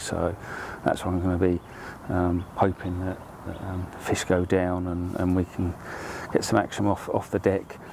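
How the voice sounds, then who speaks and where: A man speaks at a moderate pace. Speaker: angler vlogger. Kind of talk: casual vlog narration. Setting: outdoors.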